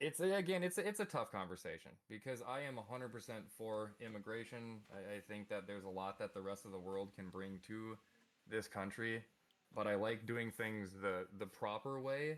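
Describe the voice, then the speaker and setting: A man's fairly low-pitched voice with a Minnesota accent and ordinary pitch variation. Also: moderate pace. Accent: Minnesotan. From US Midwest, Minnesota. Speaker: podcast guest. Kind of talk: casual chat. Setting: live stream.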